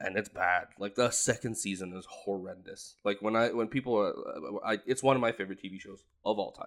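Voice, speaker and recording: On a very clean recording with a silent background, a man uses a normal speaking voice, fairly low in pitch and fairly even in intonation, talking fairly quickly with hardly any pauses and big swings in loudness. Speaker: movie podcast co-host. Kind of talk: casual chat.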